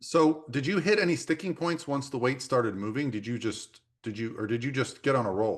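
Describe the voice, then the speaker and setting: A man's plain, everyday voice, medium in pitch, fairly quick with hardly any pauses and lively intonation. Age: 40s. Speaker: fitness coach and podcast host. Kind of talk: podcast interview.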